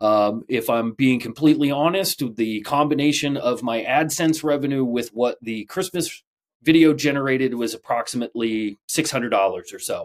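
A man talks in a normal speaking voice, fairly high-pitched, at a moderate pace with hardly any pauses and ordinary pitch variation. The recording is very clean with a silent background and a dry, close sound with no echo. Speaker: woodworking podcast co-host. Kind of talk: casual chat.

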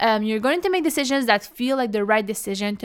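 Someone speaks with an Algerian accent on a very clean recording with a silent background. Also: woman. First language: Kabyle. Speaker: podcast host. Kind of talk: casual solo podcast talk.

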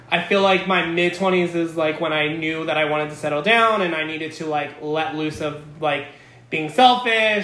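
Over noticeable background noise, a man with an American accent speaks at a moderate pace in a fairly high pitch with an animated tone. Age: 30s. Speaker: podcast host. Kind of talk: casual chat; scripted narration.

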